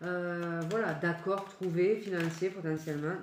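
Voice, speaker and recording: A woman talks at a medium pitch, her voice carrying audible room echo. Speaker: tarot reader. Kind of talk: tarot reading. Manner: halting.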